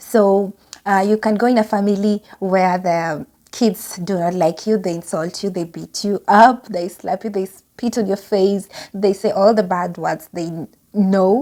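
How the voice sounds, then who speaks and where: A woman talks at a medium pitch. Her tone is dark and mellow. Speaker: au pair vlogger. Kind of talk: casual vlog talk.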